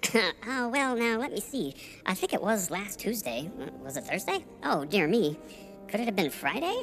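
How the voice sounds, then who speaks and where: Over clear music in the background, a put-on character voice speaks at a fairly high pitch. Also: moderate pace. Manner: dithering, rambling, flustered.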